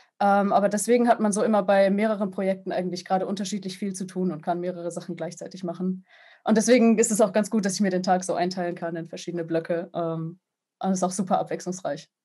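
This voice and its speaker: Against a quiet background, a woman speaks very fast with fairly even intonation. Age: 20s. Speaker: sound designer and game composer. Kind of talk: interview. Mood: friendly, smiling. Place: home room. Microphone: video call.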